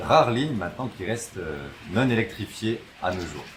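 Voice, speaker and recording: This man's recording carries noticeable background noise and audible room echo. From France, Haute-Marne (Langres). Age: 20s. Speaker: railway modeller. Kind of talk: interview. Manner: halting, many fillers.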